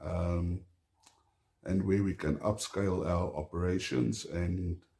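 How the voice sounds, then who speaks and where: A man's dark, mellow, somewhat breathy voice with an Afrikaans South African accent, at a very slow pace. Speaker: homesteader. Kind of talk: casual vlog talk to camera. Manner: halting, many fillers.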